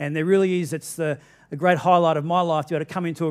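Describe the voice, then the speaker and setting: The background is quiet as a man speaks at a very fast pace. His intonation is fairly even. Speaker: pastor. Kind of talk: sermon. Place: church.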